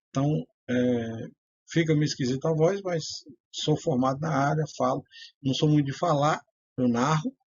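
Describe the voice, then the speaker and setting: Somewhat breathy, a man talks at a moderate pace with long, frequent pauses. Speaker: self-styled priest and religious writer. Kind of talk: religious teaching monologue. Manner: hesitant, many fillers.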